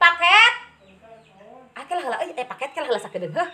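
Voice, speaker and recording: A woman's voice with very wide pitch swings. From West Java (Sundanese). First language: Sundanese (speaking Indonesian). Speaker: bird keeping vlogger. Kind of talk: casual tutorial. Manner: halting, many fillers.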